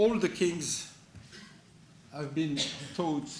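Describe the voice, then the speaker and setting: In a room with audible echo, a man with a French accent speaks with ordinary pitch variation. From France. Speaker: conference speaker, analyst. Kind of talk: conference talk. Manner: halting, many false starts.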